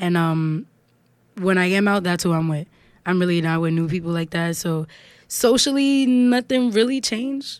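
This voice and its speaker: Lively intonation marks this woman's speech, in a New York accent. She keeps a moderate pace. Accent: New York, Harlem. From Harlem, New York. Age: 20s. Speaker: singer and songwriter. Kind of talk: casual interview chat.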